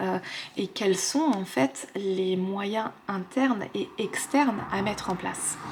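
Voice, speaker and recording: A soft-spoken woman whispers at a very slow pace, with noticeable background noise behind her. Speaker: tarot card reader. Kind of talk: tarot guidance reading to camera. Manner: soft, whispered.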